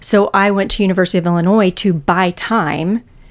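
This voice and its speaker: With an American accent, a woman talks at a moderate pace and medium pitch. Her intonation is fairly even, in a plain, everyday voice. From Texas. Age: 50s. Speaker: bank executive. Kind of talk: interview.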